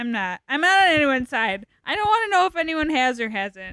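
A raised, projected voice with a bright, sharp tone moves at a moderate pace through very wide pitch swings, in a dry, close sound with no echo. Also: woman. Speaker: guest. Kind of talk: casual chat. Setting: studio.

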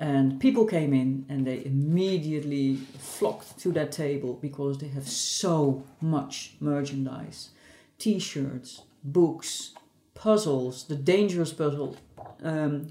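Speech comes at a very slow pace with ordinary pitch variation. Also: woman. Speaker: academic journal editor. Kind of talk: recorded audio roundup.

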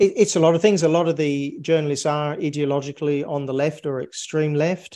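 A man with an Australian accent, fairly quick pace and fairly even intonation. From Australia (North Queensland), moved from England at 10. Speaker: physicist, scientist. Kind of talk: interview. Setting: remote interview.

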